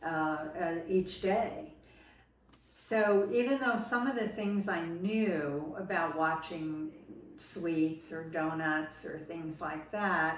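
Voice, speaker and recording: In a very slow, fairly low-pitched voice with ordinary pitch variation, a woman with an American accent talks over noticeable background noise and audible room echo. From New Jersey. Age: 70s. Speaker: patient giving testimonial. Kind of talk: testimony. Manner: hesitant, with frequent fillers.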